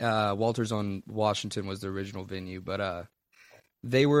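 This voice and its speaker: The speech has fairly even intonation at a moderate pace, on a very clean recording with a silent background. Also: man. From Texas, born in Louisiana. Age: 20s. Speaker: blues rock musician. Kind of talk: casual interview.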